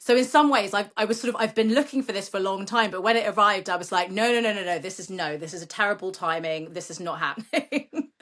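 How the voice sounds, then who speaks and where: A woman at medium pitch talks at a very fast pace with hardly any pauses. Her loudness swings a lot, over a quiet background. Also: lively intonation. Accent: British. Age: 40s. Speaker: children's author. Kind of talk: interview. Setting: podcast.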